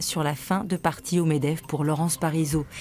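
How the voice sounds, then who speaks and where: A woman's dark, mellow tone. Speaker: press review presenter. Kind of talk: TV morning press review reading headlines.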